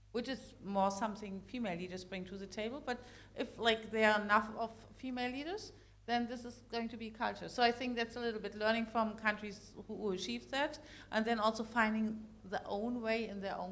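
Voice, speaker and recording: Speaking with a German accent, a woman talks at a fairly quick pace in a fairly high pitch. Her loudness swings a lot. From Germany. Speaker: corporate executive, panelist. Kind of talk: panel discussion. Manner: animated, repetitive fillers.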